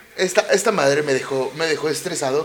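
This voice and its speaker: Against noticeable background noise, a man speaks at a moderate pace in an animated tone with very wide pitch swings. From Mexico City. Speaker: podcast host. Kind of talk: casual monologue.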